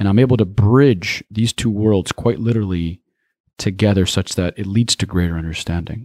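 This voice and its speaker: An unremarkable speaking voice from a man, fairly low in pitch, at a moderate pace with ordinary pitch variation, dry and close with no echo, in a very clean recording with a silent background. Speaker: speaker and writer, cross-cultural trainer. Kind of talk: interview.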